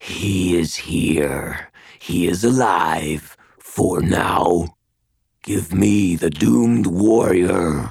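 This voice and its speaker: A man puts on a raspy character voice, very deep and low in pitch, and speaks at a very slow pace. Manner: menacing.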